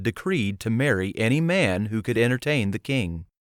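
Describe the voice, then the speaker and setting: A man with a normal speaking voice talks at a moderate pace with lively intonation on a very clean recording with a silent background. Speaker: audiobook narrator. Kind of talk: audiobook narration.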